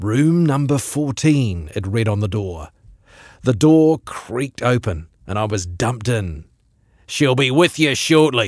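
A man's fairly slow speech with very wide pitch swings, a dry sound with no echo, and a quiet background. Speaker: radio presenter reading a short story. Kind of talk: short story reading. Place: studio.

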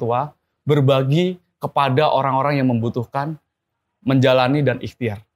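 A man's voice at a moderate pace with fairly even intonation. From Central Java (Blora); Central Java. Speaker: entrepreneur; guest. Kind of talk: interview. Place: studio.

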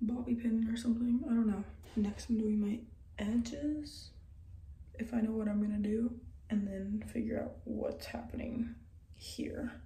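A woman speaks at a moderate pace in a monotone, flat intonation, with long, frequent pauses and audible room echo. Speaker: beauty vlogger. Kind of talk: casual vlog chat. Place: bathroom. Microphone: phone near.

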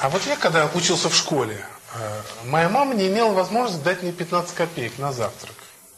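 There is noticeable background noise as a man talks at a moderate pace in a high voice with very wide pitch swings. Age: old. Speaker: lecturer on family and marriage. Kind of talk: lecture to young audience. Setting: in front of a young audience, live.

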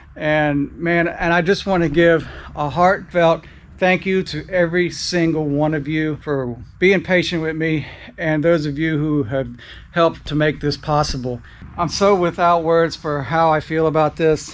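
The intonation holds fairly even. A man delivers his words at a fairly slow pace. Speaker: motorcycle vlogger. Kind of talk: casual vlog chat. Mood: grateful, emotional. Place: garage. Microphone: phone near.

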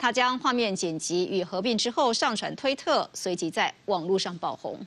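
Here is an ordinary speaking voice from a woman at medium pitch. She talks at a moderate pace with lively intonation. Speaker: news anchor. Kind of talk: TV news anchor read. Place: studio.

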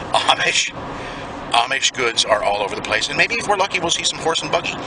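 The man's voice sounds dry, without echo. Noticeable background noise sits behind it. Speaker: travel vlogger. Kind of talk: casual vlog chat. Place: car. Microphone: phone near.

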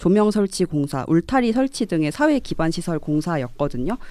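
A woman's fairly low, dark and mellow voice with very wide pitch swings at a moderate pace, dry with no echo and a quiet background. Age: young. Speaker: young politician, local election candidate; young politician, election candidate. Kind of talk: radio panel discussion. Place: studio. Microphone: studio mic.

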